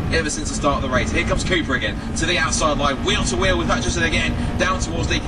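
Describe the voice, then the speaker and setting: Noticeable background noise sits under a man's very fast speech. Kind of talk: race commentary. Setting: motor racing circuit commentary box. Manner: fast, animated play-by-play, excited and urgent, rattling off names and positions; self-correcting, stumbling over car numbers.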